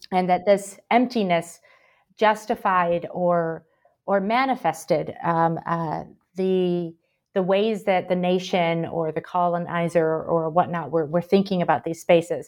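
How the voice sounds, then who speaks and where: Over a quiet background, a woman with a Midwestern accent speaks at a fairly slow pace with fairly even intonation. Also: fairly low pitch for a woman. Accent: American Midwest. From Michigan, US. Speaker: historian, professor, book editor. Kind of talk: interview answers.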